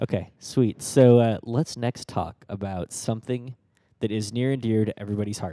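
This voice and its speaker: This man's voice has a dark, mellow tone and medium pitch, moving at a moderate pace with fairly even intonation in a dry, close sound with no echo. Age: 30s. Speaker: tech podcast co-host. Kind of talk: casual chat.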